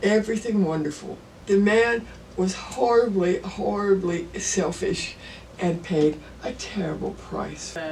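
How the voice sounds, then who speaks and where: A woman with a medium-pitched voice speaks at a fairly slow pace with ordinary pitch variation over noticeable background noise. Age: old. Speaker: artist. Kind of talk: interview answer.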